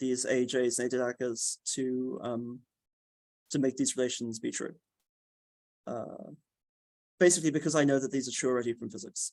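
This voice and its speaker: Moderately paced, a man speaks at a medium pitch with fairly even intonation. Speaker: physics researcher giving a talk. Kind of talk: technical lecture with questions. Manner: hesitant, many fillers.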